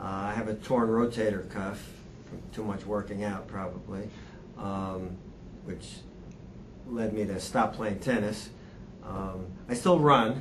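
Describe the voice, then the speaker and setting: Amid audible room echo, a man speaks at a fairly slow pace and fairly low pitch, with ordinary pitch variation and long, frequent pauses. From New Hampshire. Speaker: seminar attendee. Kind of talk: group introduction.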